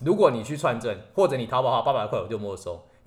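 A man with a medium-pitched, somewhat breathy voice speaks at a fairly quick pace, his pitch swinging very widely. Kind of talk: casual explanatory chat aimed at a child.

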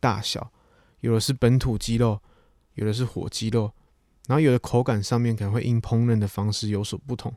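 A man with a Taiwanese accent talks at a fairly quick pace. His pitch is medium and his intonation fairly even. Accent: Taiwanese Mandarin. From Taiwan, Chiayi. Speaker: podcast host. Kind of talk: casual monologue.

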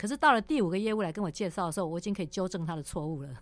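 The woman talks very quickly. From Taiwan, Taipei (Wanhua). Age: 50s. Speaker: former tech company general manager. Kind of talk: interview. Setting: studio. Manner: animated.

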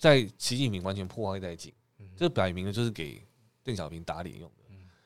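Speaking at a fairly quick pace, a man swings his pitch very widely. The recording is very clean, with a silent background. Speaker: podcast co-host. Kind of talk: casual chat.

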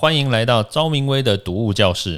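A man with a Taiwanese accent at medium pitch, moderate pace, lively intonation and an animated tone. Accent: Taiwanese Mandarin. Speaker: toxicologist and podcast host. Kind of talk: casual interview chat.

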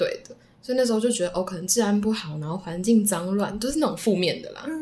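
A woman talks at a very fast pace, her voice somewhat breathy. Her pitch is medium and her intonation lively. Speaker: former language school student. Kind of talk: casual interview chat.

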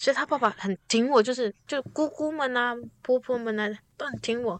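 The sound is dry and close, with no echo. The pace is moderate and the pitch varies an ordinary amount. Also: woman. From Taiwan, Taitung. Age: 20s. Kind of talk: casual chat. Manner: animated, laughing.

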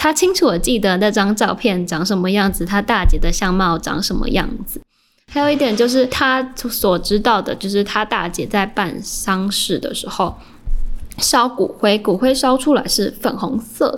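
A plain, everyday voice from a woman, fairly high in pitch, with lively intonation at a moderate pace. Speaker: journalism student. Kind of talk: interview.

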